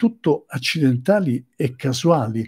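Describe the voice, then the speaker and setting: A man's somewhat breathy, fairly high voice with a dark, mellow tone and lively intonation, over a quiet background. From Sicily. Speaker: psychotherapist; presenter. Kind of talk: lecture. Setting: live stream. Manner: halting. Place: home room. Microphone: webcam.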